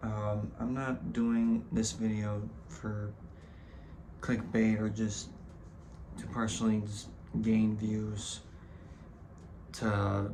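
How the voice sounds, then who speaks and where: Over noticeable background noise and audible room echo, a man speaks very slowly in a flat monotone, with long, frequent pauses. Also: fairly low pitch for a man. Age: 20s. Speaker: vlogger. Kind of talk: casual vlog monologue. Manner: halting, many fillers and repetitions.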